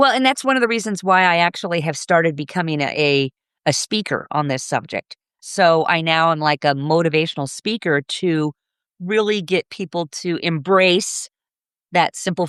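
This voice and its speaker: A woman speaks at a moderate pace in a fairly low pitch with ordinary pitch variation, and the sound is dry and close with no echo over a quiet background. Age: 60s. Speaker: gardening business owner and author. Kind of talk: podcast interview. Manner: animated.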